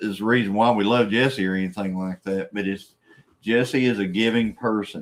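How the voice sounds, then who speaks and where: In a normal speaking voice, a man talks at a fairly slow pace with fairly low pitch and fairly even intonation. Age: 60s. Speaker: farm channel host, cattle farmer. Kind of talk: casual live-stream chat. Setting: live stream.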